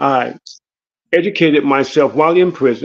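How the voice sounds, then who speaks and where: It is an unremarkable speaking voice with fairly even intonation. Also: man. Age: 60s. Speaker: former prisoner, legal helper. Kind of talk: testimony. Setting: online livestream.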